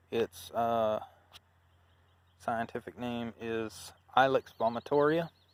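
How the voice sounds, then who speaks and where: Speaking very slowly in an Alabama accent, a man keeps a medium pitch and fairly even intonation in a dry, close sound with no echo. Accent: Southern US (Alabama). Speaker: YouTuber, gardener. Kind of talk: casual walkthrough vlog. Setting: outdoors in garden. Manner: casual, hesitant with fillers.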